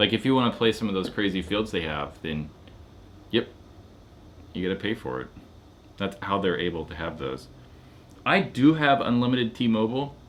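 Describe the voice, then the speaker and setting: At a moderate pace, a man with a fairly low pitch and vocal fry makes very wide pitch swings and leaves long, frequent pauses. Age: 30s. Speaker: paintball YouTuber. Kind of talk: live stream chat. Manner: casual.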